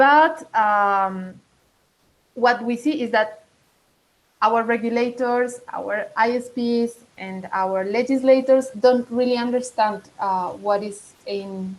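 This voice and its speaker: A woman with a Latin American accent, fairly high in pitch, at a very slow pace with long, frequent pauses and ordinary pitch variation. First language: Spanish. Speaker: digital rights advocate. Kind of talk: online meeting presentation. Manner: halting, many fillers.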